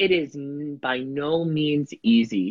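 With an American accent, a man is talking. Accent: Italian American, Staten Island. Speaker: podcast guest, headshot photographer; musical theater performer. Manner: casual, conversational.

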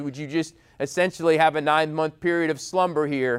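An unremarkable speaking voice from a man with an American accent, fairly high in pitch, at a moderate pace, in a very clean recording with a silent background. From New York, US Northeast. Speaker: head of school giving a homily. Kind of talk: homily to school community. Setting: school chapel with student audience.

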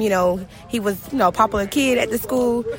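Over noticeable background noise, a woman at a medium pitch speaks at a fairly quick pace with ordinary pitch variation. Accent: Southern US. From Brunswick, Georgia. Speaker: victim's high school classmate. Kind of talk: interview. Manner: halting.

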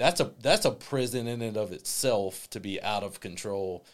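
On a very clean recording with a silent background, a man in an unremarkable speaking voice talks at a moderate pace and fairly low pitch, with ordinary pitch variation. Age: 40s. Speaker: counselor for young people. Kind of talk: interview.

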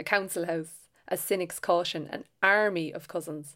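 In a very clean recording with a silent background, a woman with an Irish accent speaks at a fairly slow pace with ordinary pitch variation. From Ireland. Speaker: novelist and short story writer. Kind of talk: reading aloud own essay.

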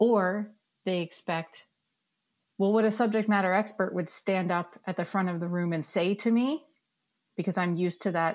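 There is a plain, everyday voice from a woman at medium pitch. She keeps a moderate pace with ordinary pitch variation. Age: 40s. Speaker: digital learning lead. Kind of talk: casual chat. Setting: video call.

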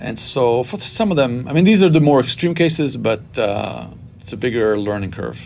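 With an Israeli accent, a man speaks at a moderate pace in a medium pitch. His intonation is lively, and his loudness swings widely. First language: Hebrew. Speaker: Bible college president. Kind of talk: interview.

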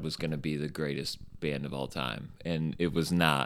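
With a Midwestern American accent, a man talks at a moderate pace in a very deep, low voice with vocal fry and fairly even intonation, on a very clean recording with a silent background. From Indiana, Bluffton near Fort Wayne. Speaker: t-shirt company owner and designer. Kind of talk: interview conversation. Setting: studio.

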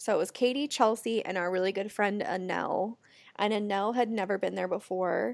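A woman with an American accent speaks in a normal speaking voice at a medium pitch and a fairly quick pace, with ordinary pitch variation on a very clean recording with a silent background. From US Pacific Northwest (Portland, Oregon area). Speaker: podcast co-host. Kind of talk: casual chat.

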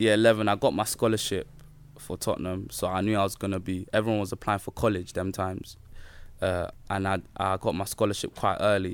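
Flat and monotone in intonation, speech in a London accent comes at a fairly quick pace in a very clean recording with a silent background. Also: man, fairly low pitch for a man. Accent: London Multicultural English. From south London (Peckham), Nigerian heritage. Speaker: professional footballer. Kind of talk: casual chat.

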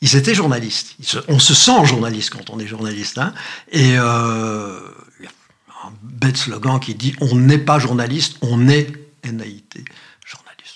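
A man with a medium-pitched voice speaks at a fairly slow pace, his loudness swinging widely, his pitch moving in an ordinary way, and long pauses coming often. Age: 60s. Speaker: retired journalist and journalism lecturer. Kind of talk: interview conversation.

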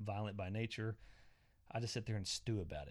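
With an Oklahoma accent, a man talks at a fairly quick pace and a fairly low pitch on a very clean recording with a silent background. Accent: Oklahoma Southern US. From southwest Oklahoma, small town. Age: 40s. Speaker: podcast host. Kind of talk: casual solo monologue. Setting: home basement.

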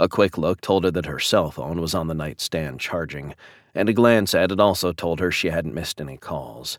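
A man with vocal fry speaks in a dramatic tone at a moderate pace. His pitch varies in an ordinary way, and the sound is dry and close with no echo. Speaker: audiobook narrator. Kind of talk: audiobook reading of a romantic suspense novel. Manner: dramatic, tense narration shifting to gritty intensity.

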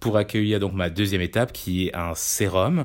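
A man speaks at a moderate speed in a very deep, low pitch with fairly even intonation, recorded very cleanly against a silent background. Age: 30s. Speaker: digital campaign staff. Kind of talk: product review monologue. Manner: hesitant, many fillers.

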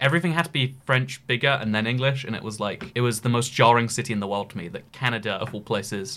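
Bright and sharp in tone, a man with a British accent talks at a very fast pace with ordinary pitch variation on a very clean recording with a silent background. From UK. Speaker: podcast host. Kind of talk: casual chat.

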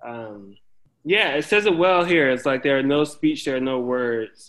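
Man with an eastern North Carolina accent, at a moderate pace. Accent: Southern US, eastern North Carolina. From US South, northeastern North Carolina. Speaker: school counselor. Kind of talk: casual interview. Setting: video call. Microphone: recorded over Zoom, possible audio issues.

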